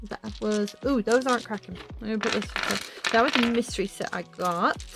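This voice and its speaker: Music plays in the background as a woman with an American accent speaks. Her pitch is fairly high and her pace fairly quick. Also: ordinary pitch variation. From England and US, half American half English. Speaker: hobby vlogger. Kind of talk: casual show-and-tell vlog. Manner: animated.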